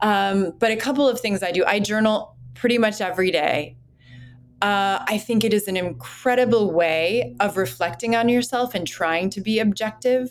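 A woman speaks in an American accent at a moderate pace. Hers is an ordinary speaking voice with a medium pitch. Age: 40s. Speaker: clinical psychologist. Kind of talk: interview.

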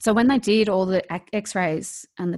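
A woman speaks in an Australian accent, with ordinary pitch variation. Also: quiet background. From rural New South Wales, Australia. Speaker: author and speaker. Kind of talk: casual interview telling personal story. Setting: video call across time zones.

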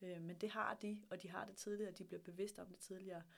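A woman's medium-pitched voice, fairly quick and flat in intonation. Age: 30s. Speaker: startup hub director. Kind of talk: interview.

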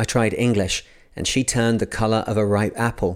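On a very clean recording with a silent background, a man at medium pitch uses an unremarkable speaking voice at a moderate pace. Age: 40s. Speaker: podcast host reading books aloud. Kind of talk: reading aloud.

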